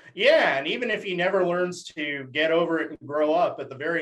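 With an American accent, a man has an unremarkable speaking voice, a fairly high pitch and a fairly quick pace. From Dallas, Texas.

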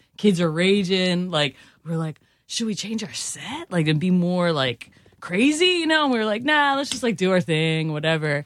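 A woman with an American accent, medium pitch and very wide pitch swings. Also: moderate pace. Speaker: musician. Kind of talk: casual chat.

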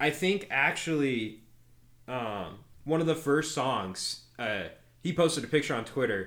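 A man with an American accent talks at a fairly slow pace, his lively intonation touched by vocal fry. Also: fairly high pitch for a man. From Nebraska, Omaha. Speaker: podcast co-host, country music fan. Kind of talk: casual chat.

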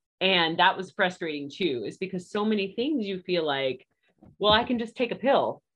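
With a plain, everyday voice and an American accent, a woman talks at a moderate pace and medium pitch, using lively intonation. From Virginia. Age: 30s. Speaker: podcast guest sharing recovery story. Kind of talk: interview testimony.

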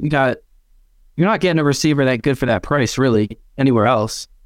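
This man has an unremarkable speaking voice, fairly high in pitch with ordinary variation. The recording is very clean, with a silent background. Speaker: football fan panelist. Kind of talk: casual chat.

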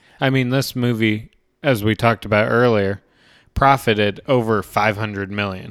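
A man with an ordinary speaking voice and fairly low pitch talks at a moderate pace with fairly even intonation. The recording is very clean, with a silent background. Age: young. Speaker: podcast co-host, movie reviewer. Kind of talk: casual chat.

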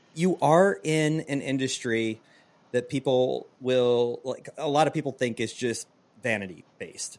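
With lively intonation, a man speaks at a medium pitch in an ordinary speaking voice. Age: 40s. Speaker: podcast host and former teacher. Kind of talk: casual interview.

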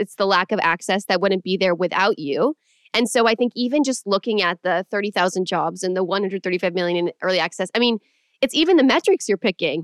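Very fast, enthusiastic speech with ordinary pitch variation, in a Californian accent. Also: woman, medium pitch for a woman. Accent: general American, Californian. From Los Angeles. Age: 20s. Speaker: podcast host. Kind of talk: casual interview.

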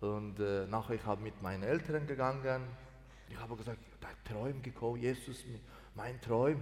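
With a Persian accent, the somewhat breathy speaker moves at a moderate pace, using ordinary pitch variation and long, frequent pauses. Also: man, medium pitch for a man. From Iran, Mazandaran. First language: Persian (speaking German). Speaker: pastor. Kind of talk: testimony. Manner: halting.

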